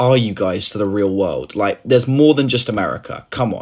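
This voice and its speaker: A man speaks with a British accent. His pace is moderate. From United Kingdom. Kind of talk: casual anecdote.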